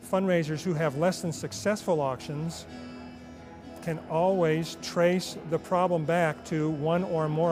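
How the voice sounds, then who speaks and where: Music plays behind a man speaking at a fairly slow pace. His pitch is fairly high, and his intonation is fairly even. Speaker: professional charity auctioneer. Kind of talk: interview answer, casual conversational talk about his career.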